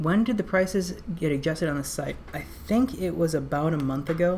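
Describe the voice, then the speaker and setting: A woman speaks at a very deep, low pitch with ordinary pitch variation. There is audible room echo and noticeable background noise. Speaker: company product presenter. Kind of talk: webinar presentation with Q&A. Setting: online webinar. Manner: fast; many filler words (um, uh).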